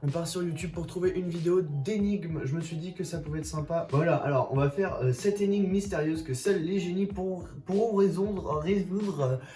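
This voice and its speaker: Over noticeable background noise, a man with a high pitch and ordinary pitch variation talks at a fairly quick pace with hardly any pauses. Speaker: YouTuber. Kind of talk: casual vlog commentary. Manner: animated.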